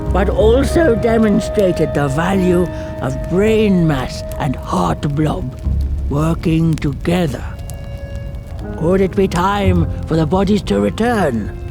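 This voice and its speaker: Loud music plays in the background as a put-on character voice speaks at a fairly slow pace. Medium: machinima. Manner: grandiloquent, formal.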